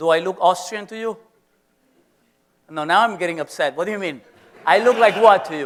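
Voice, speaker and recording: In a Venezuelan accent, the speaker talks in an animated tone with lively intonation. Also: man. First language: Spanish. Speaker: professor. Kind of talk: lecture.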